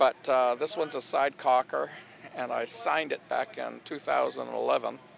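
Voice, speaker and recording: A man speaks at a moderate pace. Noticeable background noise can be heard behind him. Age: 70s. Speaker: paintball inventor. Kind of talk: interview. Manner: halting, many fillers.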